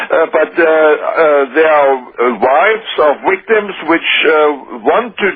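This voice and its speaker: Over noticeable background noise, a man with a German accent talks at a fairly slow pace in a high pitch for a man. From Germany. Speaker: former government minister. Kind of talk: radio interview. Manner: halting.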